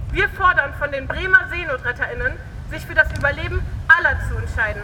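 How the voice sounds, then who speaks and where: Noticeable background noise behind a fairly quick delivery. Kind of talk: protest speech. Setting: outdoors, protest rally. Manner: forceful, accusatory, direct address.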